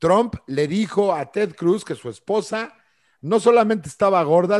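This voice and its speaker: In a Mexican accent, a man talks with an animated tone at a moderate pace against a quiet background. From central Mexico. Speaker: podcast co-host. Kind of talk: casual chat.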